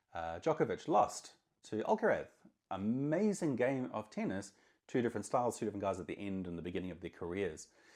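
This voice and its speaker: Talking very fast in an energetic tone with lively intonation, a man with a fairly low pitch is heard over a quiet background. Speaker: marketing consultant. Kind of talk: talking-head monologue. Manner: loud.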